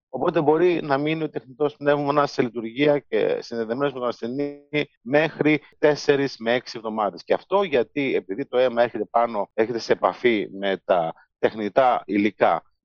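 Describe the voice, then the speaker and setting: A man at medium pitch, moderate pace and ordinary pitch variation, an unremarkable speaking voice. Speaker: biomedical engineering professor. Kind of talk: interview.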